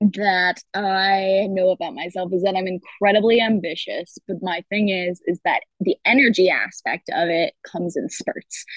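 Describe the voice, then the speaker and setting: A woman with an American accent speaks at a fairly slow pace, with hardly any pauses. Her pitch is medium and her intonation fairly even. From Michigan, US. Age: 20s. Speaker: film and TV producer. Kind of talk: casual chat. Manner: giggly.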